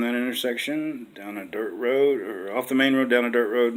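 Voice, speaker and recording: A man with an American accent, medium in pitch, at a moderate pace and with ordinary pitch variation. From West Virginia, small rural town. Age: 60s. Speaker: dating-site profile video maker, veteran. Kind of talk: casual personal self-introduction. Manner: halting, many fillers.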